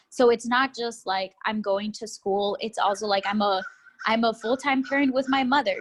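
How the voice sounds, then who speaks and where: In a Spanish accent, a woman with a fairly high pitch talks at a moderate pace, somewhat breathy and with fairly even intonation. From Texas, Austin. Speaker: graduate student. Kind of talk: interview. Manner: casual, with many fillers.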